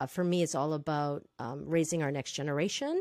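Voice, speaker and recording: A woman speaks at a moderate pace in a very deep, low voice, recorded very cleanly against a silent background with a dry, close sound and no echo. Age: 50s. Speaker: safety trainer and consultant. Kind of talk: interview.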